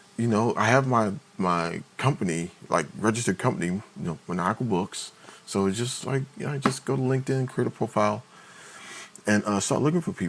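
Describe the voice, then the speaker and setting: A man with an American accent speaks fairly quickly and with lively intonation, while noticeable background noise runs underneath. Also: medium pitch for a man. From Maryland/DC/Virginia area, US. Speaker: indie publisher and livestreamer. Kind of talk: casual livestream chat. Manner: hesitant, many fillers.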